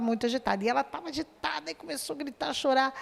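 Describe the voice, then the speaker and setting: A woman talks over noticeable background noise. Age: 60s. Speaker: course student. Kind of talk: testimony.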